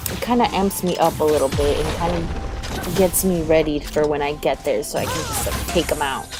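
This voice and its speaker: A woman talks at a moderate pace, barely pausing, while music plays in the background. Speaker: gamer. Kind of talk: gameplay commentary voiceover. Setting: low-quality home microphone.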